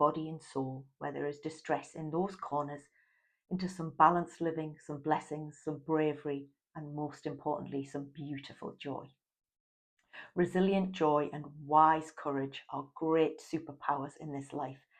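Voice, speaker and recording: A woman speaks with a warm, gentle tone at a very deep, low pitch and a moderate pace. Her intonation is monotone and flat, while her loudness swings widely. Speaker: life coach and author. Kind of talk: casual talk to camera.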